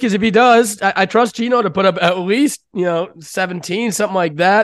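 Delivery moves at a moderate pace. Pitch variation is ordinary. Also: man. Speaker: sports betting podcast host. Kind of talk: casual chat, sports betting show.

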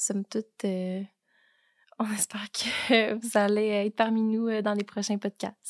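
A woman with a medium-pitched voice speaks at a very slow pace. The sound is dry and close with no echo. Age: 20s. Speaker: real estate broker. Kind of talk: casual chat.

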